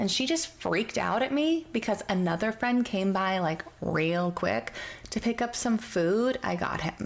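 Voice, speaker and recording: Soft-spoken and at a very slow pace, a woman talks at a medium pitch over noticeable background noise. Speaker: storyteller. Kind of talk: reddit story reading.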